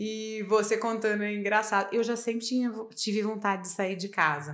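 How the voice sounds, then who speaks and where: Using a plain, everyday voice, a woman speaks at a fairly high pitch with fairly even intonation. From Minas Gerais, Brazil (small town near Furnas). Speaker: podcast co-host, physician. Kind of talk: casual chat.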